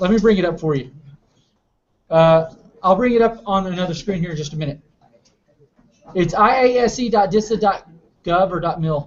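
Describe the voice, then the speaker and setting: The speech moves at a fairly quick pace in a Southern US accent. Long pauses come often. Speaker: cybersecurity competition trainer. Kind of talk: lecture.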